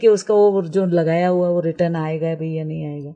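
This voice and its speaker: A woman speaks at a fairly low pitch. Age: 60s. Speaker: permaculture trainer. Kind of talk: radio interview. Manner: halting, many fillers.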